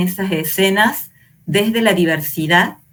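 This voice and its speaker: Somewhat breathy and of medium pitch, a woman speaks at a fairly slow pace with fairly even intonation. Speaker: teacher trainer. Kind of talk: online lecture.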